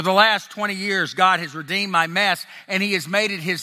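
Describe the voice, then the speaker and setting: A man with an American accent speaks in a raised, projected voice at a high pitch and a fairly quick pace. His tone is bright and sharp, with ordinary pitch variation. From US South (Tennessee and Texas). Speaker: ex-pastor sharing testimony. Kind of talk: testimony. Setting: live event with audience. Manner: sincere, confessional.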